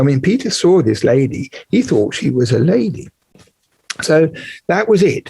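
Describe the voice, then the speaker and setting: A man with an English accent, fairly high pitch, very wide pitch swings, moderate pace, long and frequent pauses, and very even loudness. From England. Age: 70s. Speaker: historian of ancient Mesopotamia. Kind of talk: interview.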